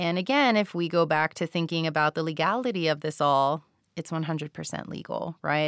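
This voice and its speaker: A woman with an American accent speaks at a very fast pace in a very deep, low pitch with ordinary pitch variation. The sound is dry and close with no echo, on a very clean recording with a silent background. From Texas, near the Mexico border. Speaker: university faculty member. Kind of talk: podcast discussion.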